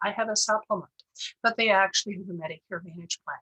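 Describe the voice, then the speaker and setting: A woman with a medium pitch and a bright, sharp tone speaks with fairly even intonation, and the sound is dry and close, with no echo. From Germany, Bavaria. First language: German. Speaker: insurance broker. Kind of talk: presentation. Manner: hesitant, many fillers.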